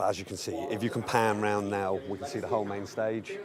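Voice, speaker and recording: The speech moves at a moderate pace. Audible room echo and noticeable background noise are present. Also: man. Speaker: video host giving a venue tour. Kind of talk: walking tour commentary. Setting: conference venue, walking around.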